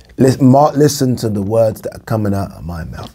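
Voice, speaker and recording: The speaker is a man. His tone is dark and mellow, with ordinary pitch variation. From UK. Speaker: boxing commentator vlogger. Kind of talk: casual monologue to camera. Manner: fast talker. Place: home room.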